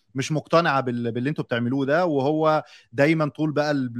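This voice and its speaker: Dry and close with no echo, a man with a plain, everyday voice speaks at a fairly quick pace and a fairly high pitch, with ordinary pitch variation. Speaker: podcast moderator. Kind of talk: casual chat.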